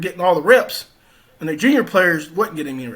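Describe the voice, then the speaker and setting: A man with a Louisiana accent, high-pitched, bright and sharp in tone, at a fairly quick pace with lively intonation. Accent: Southern US (Louisiana). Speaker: former college football player. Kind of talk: interview. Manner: casual, conversational.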